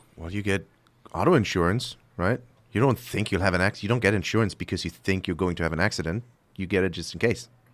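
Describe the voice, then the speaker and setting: In a very clean recording with a silent background, a man with a very deep, low voice talks very fast in a German accent. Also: ordinary pitch variation. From Germany. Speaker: firearms instructor. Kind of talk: radio interview.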